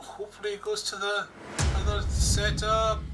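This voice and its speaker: A man is speaking. Music plays in the background. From Scotland, Outer Hebrides (Isle of Lewis). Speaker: gaming streamer. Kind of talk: casual live-stream chat.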